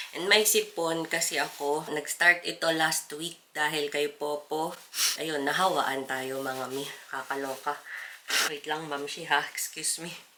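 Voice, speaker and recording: A woman speaks at a fairly slow pace with fairly even intonation and a very deep, low pitch, over noticeable background noise. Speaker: vlogger. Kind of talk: casual vlog talk.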